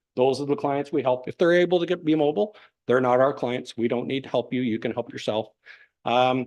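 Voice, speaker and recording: A very fast man with a Canadian accent, medium pitch and ordinary pitch variation, against a quiet background. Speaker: paramedic service manager presenting to council. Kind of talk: presentation to council.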